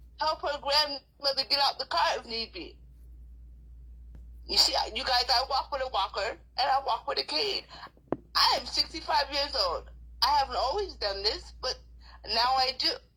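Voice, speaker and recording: Projecting a raised voice, a woman speaks at a high pitch. Her intonation is lively and her pace moderate. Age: 60s. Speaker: grandmother fighting child protective services. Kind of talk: interview testimony. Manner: animated.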